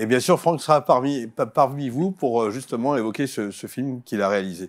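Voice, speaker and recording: A man with a slight Savoyard accent speaks at a moderate pace and medium pitch. His pitch varies normally on a very clean recording with a silent background. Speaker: TV host. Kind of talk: TV interview. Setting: studio.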